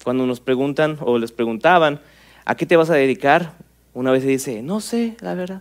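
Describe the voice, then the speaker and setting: A man with a plain, everyday voice, fairly high-pitched, lively in intonation, at a moderate pace. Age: 30s. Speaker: pastor. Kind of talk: sermon.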